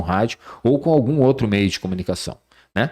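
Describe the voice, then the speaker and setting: This is a normal speaking voice, a man at medium pitch with lively intonation, heard in a very clean recording over a silent background. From Rio Grande do Sul, Brazil, moved to Bahia young. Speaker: radio and TV journalist and presenter. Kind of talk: podcast interview.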